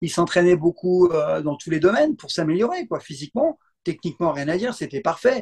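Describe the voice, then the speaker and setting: A man speaks with a high pitch. The sound is dry and close, with no echo. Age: 60s. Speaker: martial arts and self-defense instructor. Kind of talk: interview. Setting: video call. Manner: animated.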